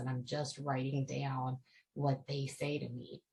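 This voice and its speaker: Soft-spoken and somewhat breathy, a woman with a very deep, low pitch speaks at a moderate pace in a monotone, flat intonation. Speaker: author. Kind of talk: casual talk to camera. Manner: quiet, soft-spoken.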